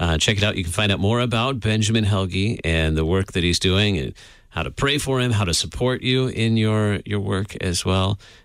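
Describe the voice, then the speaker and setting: Over a very clean recording with a silent background, a man with a plain, everyday voice speaks at a moderate pace and fairly low pitch, with ordinary pitch variation and very even loudness. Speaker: radio host. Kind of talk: radio interview. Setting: studio.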